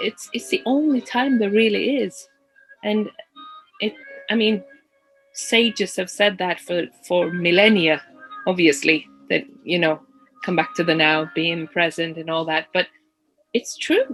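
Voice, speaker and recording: With music in the background, the speech moves at a fairly slow pace with long, frequent pauses and lively intonation. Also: woman, medium pitch for a woman. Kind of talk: podcast conversation.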